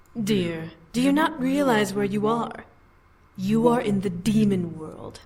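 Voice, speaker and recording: A put-on character voice, female-sounding, medium in pitch and fairly slow in pace. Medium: solo performance. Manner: imperious.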